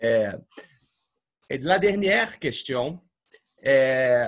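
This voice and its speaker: This man's pitch is fairly high, with lively intonation. He speaks at a very slow pace. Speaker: academic interviewer. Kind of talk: interview. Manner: hesitant.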